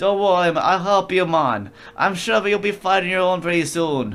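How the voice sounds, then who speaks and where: A man speaks in a put-on character voice, pitched high, at a moderate pace with clear music in the background. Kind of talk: game dialogue read aloud with a put-on voice. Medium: virtual streamer. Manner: brisk, matter-of-fact.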